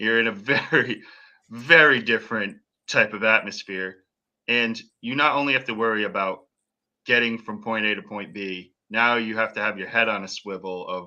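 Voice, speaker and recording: Over a quiet background, a man with an American accent speaks at a moderate pace. His tone is bright and sharp, and his intonation fairly even. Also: medium pitch for a man. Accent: slight New England accent, usually hidden. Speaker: podcast host. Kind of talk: casual chat.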